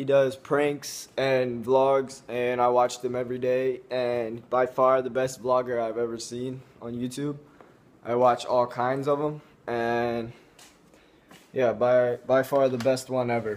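A man at a fairly slow pace, monotone and flat in intonation. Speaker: vlogger. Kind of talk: casual vlog chat. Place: home room. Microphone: phone near.

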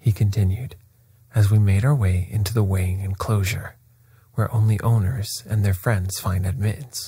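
The intonation stays fairly even. The text is read aloud in a natural voice.

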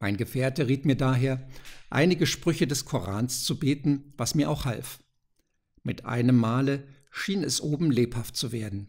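A somewhat breathy man's voice at a medium pitch, fairly slow in pace with ordinary pitch variation, on a very clean recording with a silent background. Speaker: audiobook narrator. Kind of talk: ghost story reading aloud, tense narration. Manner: hushed, suspenseful, slow and deliberate; dramatic, building tension toward the door flying open.

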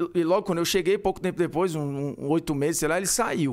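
On a very clean recording with a silent background, the speaker talks with a Ceará accent. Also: man. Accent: Northeastern Brazilian (Ceará). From Ceará, Brazil. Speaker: sports commentator. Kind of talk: casual chat.

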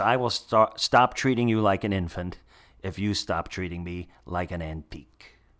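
A man with an American accent has a normal speaking voice with ordinary pitch variation, captured on a very clean recording with a silent background. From New Jersey. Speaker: actor and comedian. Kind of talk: casual chat.

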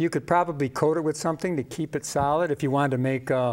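A man speaks quickly in a fairly high voice for a man, with a slightly mellow tone. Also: ordinary pitch variation.

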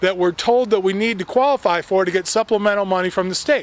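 A man with an American accent speaks on a dry recording with no echo. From US West Coast, California. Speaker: local political campaigner. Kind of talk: political speech to camera. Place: garden. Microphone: handheld.

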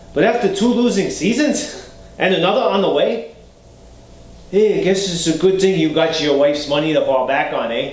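A man with a Boston accent talks at a high pitch and moderate pace, with lively intonation, long, frequent pauses and audible room echo. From Boston area, USA. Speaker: character actor. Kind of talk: acting scene, self-tape. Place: home room.

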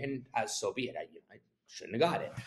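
The speaker has a Canadian accent and keeps a moderate pace. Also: man. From Canada. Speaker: real estate agent; guest. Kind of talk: casual interview. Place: office. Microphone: video call.

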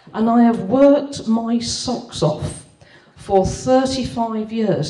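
At a very slow pace, a woman with a Birmingham accent speaks in a fairly high pitch. Audible room echo surrounds her voice. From Birmingham, England. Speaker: property investor. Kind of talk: testimonial presentation. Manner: halting. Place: hall.

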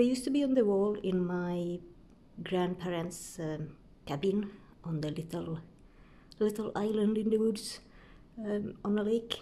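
The woman's voice has a dark, mellow tone and ordinary pitch variation. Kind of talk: casual vlog chat. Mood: relaxed, fond. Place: home room. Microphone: phone near.

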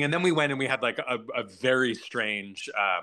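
A man's bright, sharp tone at a moderate pace over a quiet background. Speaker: guest. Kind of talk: interview answer. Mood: amused, candid, laughing. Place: home room. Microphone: video call.

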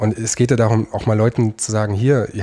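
Somewhat breathy and dark, mellow in tone, the man's voice sits at a fairly low pitch. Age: 30s. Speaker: lawyer, law firm founder. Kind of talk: interview.

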